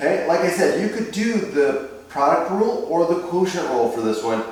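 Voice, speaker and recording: A loud, high-pitched man at a fairly slow pace, with very wide pitch swings, audible room echo and noticeable background noise. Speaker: math teacher. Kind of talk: lecture. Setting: detached garage under remodeling.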